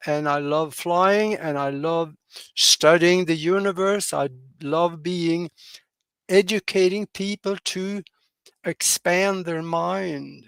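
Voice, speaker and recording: Speaking with a Norwegian accent at a high pitch and a fairly slow pace, a man uses ordinary pitch variation in a very clean recording with a silent background and a dry, close sound with no echo. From Norway. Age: 80s+. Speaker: pilot and broadcaster. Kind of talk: interview. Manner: halting, many fillers.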